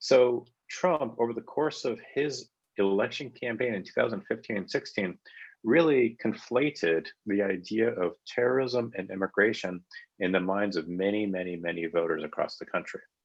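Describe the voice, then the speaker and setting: Against a quiet background, a man speaks at a medium pitch with lively intonation. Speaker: panelist. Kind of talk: panel talk. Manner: fast.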